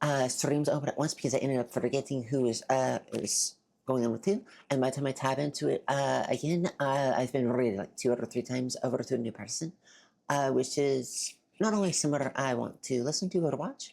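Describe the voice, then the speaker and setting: Speaking at a fairly quick pace, a woman with a very deep, low voice and a dark, mellow tone shows ordinary pitch variation. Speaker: streamer. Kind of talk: casual chat. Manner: halting, many fillers.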